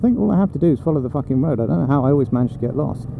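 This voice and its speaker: A man at medium pitch speaks very fast with very wide pitch swings. Noticeable background noise runs under the speech. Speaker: motorcycle vlogger. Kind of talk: casual talk while riding. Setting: outdoors, in a helmet with wind noise. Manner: rambling, sweary.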